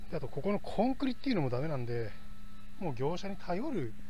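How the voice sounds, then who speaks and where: At a fairly quick pace, the voice comes through with a dry sound with no echo and noticeable background noise. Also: man. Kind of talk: casual vlog chat. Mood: relaxed, joking. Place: garden. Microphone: phone near.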